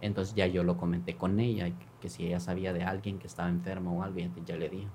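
A man speaks in a dark, mellow tone with ordinary pitch variation. Audible room echo surrounds his voice. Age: 30s. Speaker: congressman. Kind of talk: interview, personal story.

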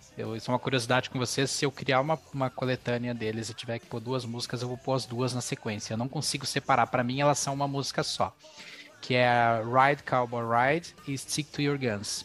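Music plays in the background as a man speaks at a medium pitch. His intonation is monotone and flat. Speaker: podcast host. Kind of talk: casual chat; scripted narration.

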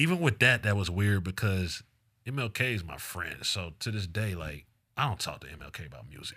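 A man with an American accent speaks at a moderate pace, his fairly low voice bright and sharp in tone. His intonation is lively, his loudness swings widely, and the recording is very clean with a silent background. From Decatur, Georgia, US South. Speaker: mixtape DJ. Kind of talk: casual interview.

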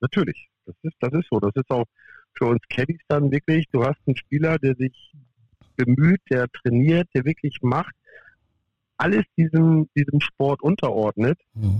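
The voice is somewhat breathy at a fairly slow pace, with ordinary pitch variation and a dry, close sound with no echo. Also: man, fairly high pitch for a man. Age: 50s. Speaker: professional golf caddie. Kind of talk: interview.

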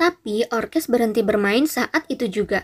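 The speaker is reading aloud in a natural voice. Nothing else is added.

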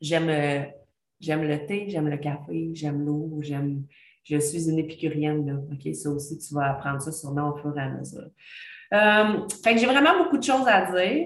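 Room echo is audible as a woman speaks in a very deep, low voice. Her pace is moderate and her pitch variation ordinary. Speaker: podcast host, former teacher. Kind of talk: casual monologue. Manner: chatty, hesitant with fillers.

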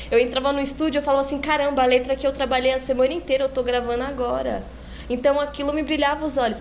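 A woman speaks very fast at a high pitch in a monotone, flat way. Noticeable background noise runs behind her. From São Paulo, São Miguel Paulista (east zone periphery). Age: young. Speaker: funk singer. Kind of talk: podcast interview.

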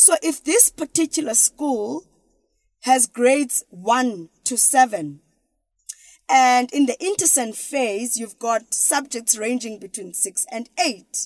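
Speaking at a very slow pace in a South African accent, a woman has a high pitch and lively intonation, the sound dry and close with no echo. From South Africa, Eastern Cape. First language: isiXhosa. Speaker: educational strategist. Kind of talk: interview.

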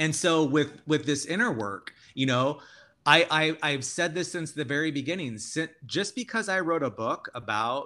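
A man with a bright, sharp tone, lively intonation and an American accent. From Tucson, Arizona. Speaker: author and educator. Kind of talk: interview. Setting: remote recording.

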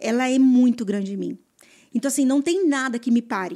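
A woman speaks with a high pitch and ordinary pitch variation. Her tone is dark and mellow. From Mato Grosso do Sul, Brazil (rural interior). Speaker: real estate agent. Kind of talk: casual interview. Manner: hesitant, many fillers.

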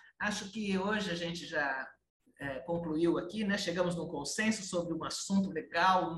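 A woman speaks at medium pitch with ordinary pitch variation. Audible room echo fills the recording. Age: 60s. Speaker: podcast host. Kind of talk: casual chat.

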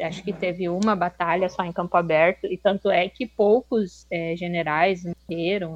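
At a moderate pace and with fairly even intonation, this is a plain, everyday voice captured with a dry, close sound and no echo. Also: woman, fairly low pitch for a woman. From Rio Grande do Sul, southern Brazil. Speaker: master's student. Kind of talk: casual discussion.

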